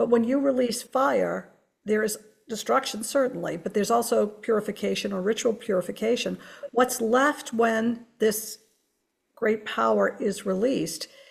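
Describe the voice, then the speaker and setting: Using a plain, everyday voice, a woman talks at a moderate pace with fairly high pitch. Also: ordinary pitch variation. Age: 60s. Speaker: museum curator. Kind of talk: panel discussion.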